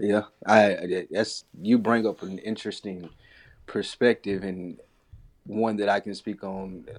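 Fairly low in pitch, a man speaks with monotone, flat intonation. His pace is fairly slow. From Tennessee. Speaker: podcaster. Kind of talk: casual chat.

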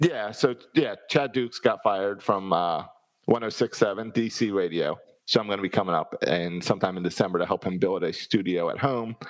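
Using an ordinary speaking voice with an American accent, a man speaks at a moderate pace, his pitch fairly low with ordinary variation. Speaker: sports podcast co-host. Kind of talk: casual chat.

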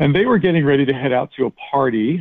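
His pitch is medium. This man speaks very fast. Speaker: guest. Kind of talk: storytelling.

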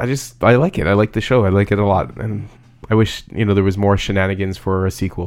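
A man with a Canadian accent at a fairly low pitch, talking at a very fast pace with fairly even intonation, in a very clean recording with a silent background. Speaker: podcast co-host. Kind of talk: casual chat.

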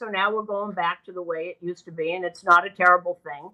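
With an American accent, a woman with an ordinary speaking voice talks at a fairly quick pace in a medium pitch, with fairly even intonation. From Boston. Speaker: baseball broadcaster. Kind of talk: casual chat. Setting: hotel room, remote call. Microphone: bad connection.

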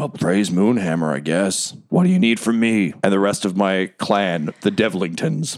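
A man's put-on character voice, fairly low in pitch, at a moderate pace with hardly any pauses. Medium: actual play. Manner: chatty, wry.

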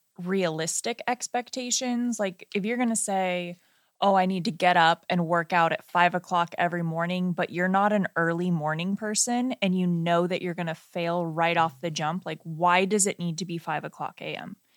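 A woman speaks in a plain, everyday voice at a medium pitch, with ordinary pitch variation and a moderate pace. There are hardly any pauses, and the recording is very clean with a silent background. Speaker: wedding filmmaker and podcast co-host. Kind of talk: casual podcast chat. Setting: studio, sharing one microphone.

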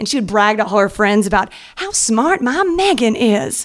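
Using very wide pitch swings, a woman with an American accent talks at a moderate pace. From US South, Atlanta. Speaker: actress. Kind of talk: live storytelling. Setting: stage with audience.

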